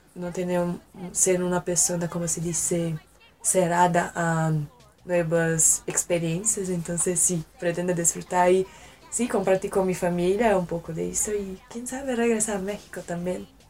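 A woman with a Portuguese accent and a fairly low pitch, fairly slow and fairly even in intonation, with noticeable background noise. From Brasília, Brazil. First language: Portuguese (speaking Spanish). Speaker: exchange student. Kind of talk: casual interview. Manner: halting.

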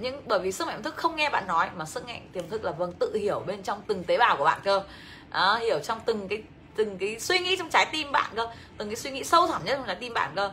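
Over background music, a woman talks with an animated tone at a very fast pace and a fairly high pitch, her pitch swinging very widely. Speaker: financial education coach. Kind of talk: livestream seminar. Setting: livestream.

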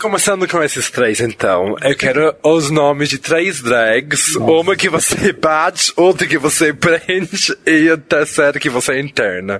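A man talking with hardly any pauses, amid noticeable background noise. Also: fairly slow pace. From foreign, not Brazilian. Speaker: podcast host. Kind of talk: casual interview chat. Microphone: poor recording quality early on.

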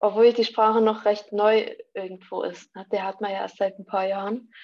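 With a fairly high pitch, a woman speaks at a moderate pace in a normal speaking voice. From Vogtland, Saxony, Germany. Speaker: university student. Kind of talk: casual discussion.

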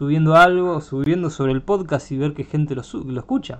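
A man talks at a moderate pace in a fairly high pitch. His is a plain, everyday voice with ordinary pitch variation. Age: 20s. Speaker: podcast host. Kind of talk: casual chat.

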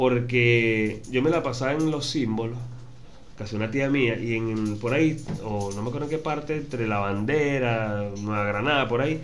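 A man's medium-pitched voice with audible room echo and music in the background. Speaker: podcast host. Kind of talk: casual chat.

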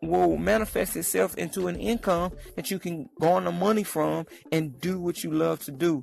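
Against music in the background, a man speaks in an animated tone. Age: 30s. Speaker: comedian and podcaster. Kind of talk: casual monologue.

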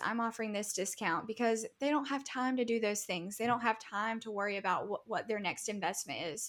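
With an ordinary speaking voice, a woman speaks at a fairly high pitch. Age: 20s. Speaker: web and branding designer. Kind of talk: interview.

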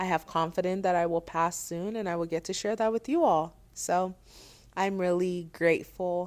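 A woman speaks at a fairly low pitch with fairly even intonation. Her pace is moderate. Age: 30s. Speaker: therapist and podcast host. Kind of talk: solo podcast monologue.

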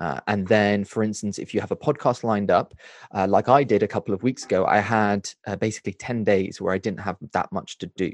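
A man at a fairly low pitch, an ordinary speaking voice with fairly even intonation and a fairly quick pace, dry and close with no echo against a quiet background. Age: 20s. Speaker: book reviewer and content creator. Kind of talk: casual interview.

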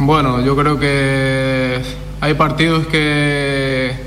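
Through noticeable background noise and audible room echo, a man speaks in a monotone, flat intonation at a fairly high pitch. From France. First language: French (speaking Spanish). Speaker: footballer. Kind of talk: interview. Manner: halting.

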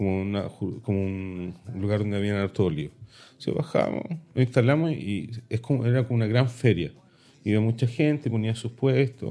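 A man's fairly low, dark, mellow voice at a moderate pace, with lively intonation. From Chile. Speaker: podcast co-host. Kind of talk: casual chat.

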